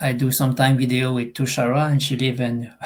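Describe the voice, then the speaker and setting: A somewhat breathy man speaks at a moderate pace with a medium pitch. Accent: Quebec. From Eastern Quebec, Canada. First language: French. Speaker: online business member. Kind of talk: video call testimony. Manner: halting.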